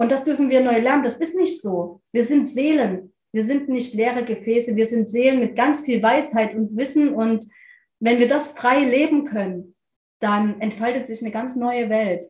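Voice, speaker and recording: With a high voice and ordinary pitch movement, the woman keeps to a moderate pace. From eastern Germany, near Leipzig. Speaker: spiritual medium and life coach. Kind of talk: interview.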